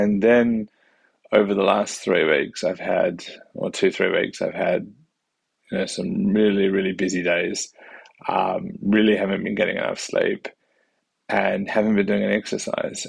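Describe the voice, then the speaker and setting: A man in an Australian accent speaks with long, frequent pauses. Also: moderate pace. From Western Australia, Perth. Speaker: family doctor and vlogger. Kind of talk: casual vlog monologue. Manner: halting, many fillers.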